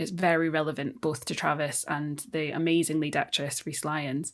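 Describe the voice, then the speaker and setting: A woman with a Scottish accent on a very clean recording with a silent background. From Scotland. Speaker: theatre director. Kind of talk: interview conversation. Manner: halting, many fillers and restarts.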